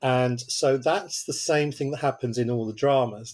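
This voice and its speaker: A man speaks at a medium pitch with a normal speaking voice. His intonation stays fairly even. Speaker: TV drama writer and producer. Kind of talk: casual interview chat.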